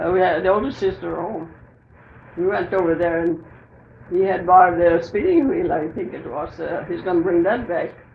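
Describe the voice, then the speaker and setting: With an American accent, a woman speaks at a fairly low pitch and a moderate pace. Her pitch variation is ordinary, and noticeable background noise is present. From Southern Minnesota. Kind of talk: interview answer. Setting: home recording.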